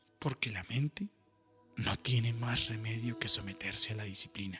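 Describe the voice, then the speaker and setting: Over music in the background, a man speaks in a calm tone with a dry, close sound and no echo. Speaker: voice-over announcer and meditation guide. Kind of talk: guided meditation reflection. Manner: slow, calm, patient.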